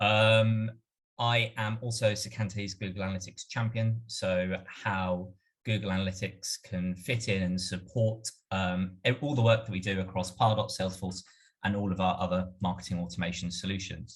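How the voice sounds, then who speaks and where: A man talks at a moderate pace with fairly even intonation. His pitch is fairly low and his voice somewhat breathy. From UK. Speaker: marketing automation strategist. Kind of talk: webinar presentation.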